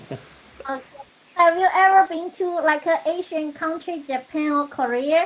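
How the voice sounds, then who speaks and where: Through noticeable background noise, a woman speaks at an extremely high pitch and a fairly slow pace with fairly even intonation. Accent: Chinese. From China, Shanghai. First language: Mandarin Chinese. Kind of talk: casual chat.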